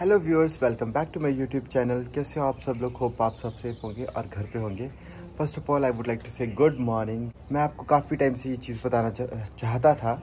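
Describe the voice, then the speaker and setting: Over light background noise, a man with a somewhat breathy voice speaks at a moderate pace with ordinary pitch variation. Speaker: vlogger. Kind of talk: casual vlog chat. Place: home room. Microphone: phone near.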